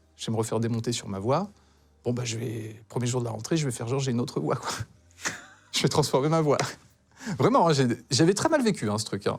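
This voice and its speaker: With music in the background, a man talks at a very fast pace with lively intonation and long, frequent pauses. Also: medium pitch for a man. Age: 40s. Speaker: talk show guest. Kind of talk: testimony. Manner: halting.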